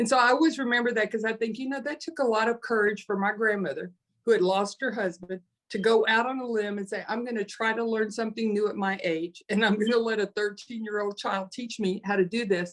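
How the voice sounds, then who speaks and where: This woman has a plain, everyday voice with a fairly high pitch. She talks at a fairly quick pace with ordinary pitch variation. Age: 60s. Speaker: panelist in nonprofit webinar. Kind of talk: panel discussion, personal story.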